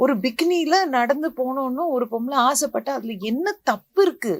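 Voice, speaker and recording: A woman with a high pitch speaks in a passionate tone with lively intonation, recorded very cleanly against a silent background. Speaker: actress. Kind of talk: interview answer at a film teaser launch. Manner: passionate, indignant.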